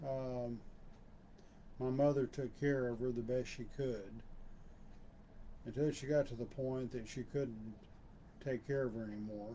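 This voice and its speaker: Speaking at a fairly slow pace with long, frequent pauses, a man with a Texan accent uses a medium pitch, a dark, mellow tone and monotone, flat intonation. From Texas (Waco). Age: 60s. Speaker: channel owner, personal storyteller. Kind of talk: personal reminiscence monologue. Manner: halting, with fillers.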